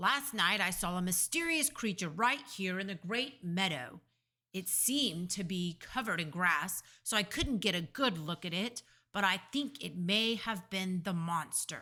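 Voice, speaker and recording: A put-on character voice, female-sounding and shrill, at middle pitch and a moderate pace. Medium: read story.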